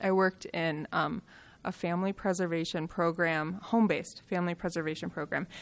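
A woman with an American accent, fairly low in pitch, at a fairly quick pace, in an unremarkable speaking voice with fairly even intonation, on a very clean recording with a silent background. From Michigan (Kalamazoo). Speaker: behavioral health executive. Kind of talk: interview.

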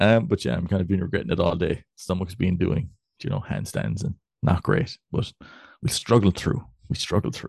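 At a very deep, low pitch, a man speaks with vocal fry and lively intonation at a moderate pace. The sound is dry and close, with no echo. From Cork, Ireland. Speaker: podcast co-host. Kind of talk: casual sports podcast chat. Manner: jokey, chatty.

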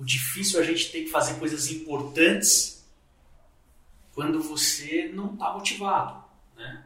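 Amid noticeable background noise, a man speaks at a fairly slow pace in a fairly high pitch, with big swings in loudness and long, frequent pauses. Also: ordinary pitch variation. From São Paulo city, Brazil. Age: 40s. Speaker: logistics executive. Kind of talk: casual interview chat.

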